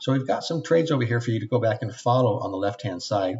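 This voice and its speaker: The pace is very fast with ordinary pitch variation. The voice sounds somewhat breathy. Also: man. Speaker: trading instructor. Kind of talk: website tour webinar.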